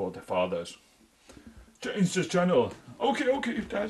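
Light background noise sits behind a man with a Finnish accent. He talks at a moderate pace. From Finland. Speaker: urban explorer vlogger. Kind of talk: casual solo vlog narration. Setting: outdoors, exploring abandoned building. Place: home room. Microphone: phone near.

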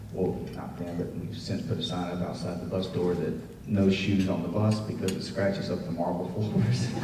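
A man with a very deep, low pitch speaks at a moderate pace with fairly even intonation. There is audible room echo and light background noise. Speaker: guest. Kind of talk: speech with a personal anecdote. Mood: warm, humorous storytelling. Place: hall.

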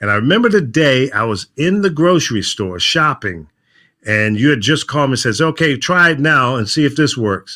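At a moderate pace and medium pitch, a man talks with a bright, sharp tone and lively intonation against a quiet background. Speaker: veteran radio program director. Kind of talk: casual interview chat. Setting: remote video call from home studio. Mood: nostalgic, animated. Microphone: video call.

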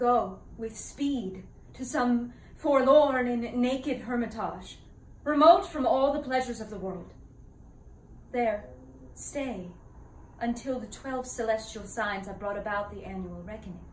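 A woman's high voice at a fairly slow pace, with ordinary pitch variation, big swings in loudness, and long, frequent pauses, in audible room echo. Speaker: actor performing a classical role. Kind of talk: dramatic monologue. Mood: earnest, sorrowful. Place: home room. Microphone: camera far.

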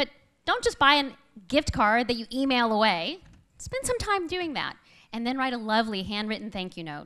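At a high pitch, a woman speaks at a fairly quick pace with a bright, sharp tone, an animated, upbeat tone and very wide pitch swings over a quiet background. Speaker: business owner. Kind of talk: pep talk. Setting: stage with audience. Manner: upbeat, persuasive. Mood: earnest, determined. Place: stage. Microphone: podium.

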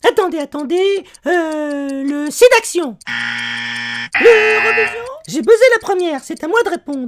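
In a high-pitched cartoonish character voice, the speaker moves at a moderate pace, broken by long, frequent pauses. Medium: puppet. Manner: excited, flustered.

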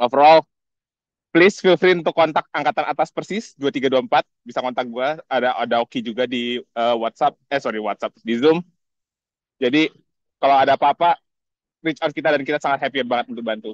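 Someone speaks at a fairly quick pace in a dry, close sound with no echo. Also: man, fairly high pitch for a man, ordinary pitch variation. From Indonesia. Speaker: scholarship alumnus. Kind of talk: casual greeting message. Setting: outdoors video call. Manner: animated.

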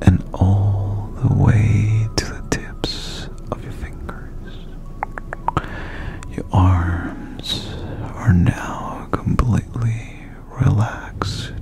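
Whispering very slowly, a man leaves long, frequent pauses while his loudness swings widely. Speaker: ASMR creator. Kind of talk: guided meditation. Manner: soft-spoken. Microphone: studio mic.

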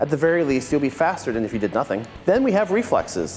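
Faint music plays in the background. A man speaks at a fairly quick pace. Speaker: martial arts instructor. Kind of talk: scripted presenter talk to camera. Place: gym.

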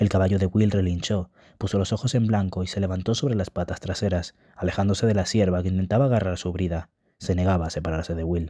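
Very deep in pitch, a man speaks at a very fast pace with fairly even intonation on a very clean recording with a silent background. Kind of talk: audiobook reading aloud of a fantasy novel.

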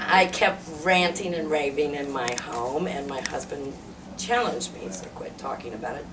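A woman is speaking. There is noticeable background noise behind her. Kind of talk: interview answer. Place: meeting room. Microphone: camera far.

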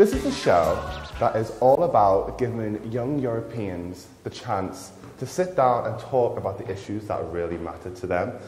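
With music in the background and audible room echo, a man speaks at a moderate pace with lively intonation. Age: young. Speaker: talk show host. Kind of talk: casual chat. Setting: kitchen. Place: hall. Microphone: phone near.

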